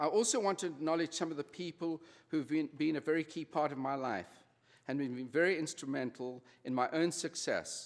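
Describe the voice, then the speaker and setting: A man with a South African accent speaks at a fairly high pitch. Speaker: honorary degree recipient, retail executive. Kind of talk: convocation speech. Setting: graduation ceremony with audience.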